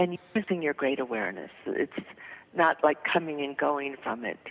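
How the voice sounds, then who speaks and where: There is noticeable background noise behind a woman whose pitch varies in an ordinary way. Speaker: spiritual teacher and author. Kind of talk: interview. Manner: halting.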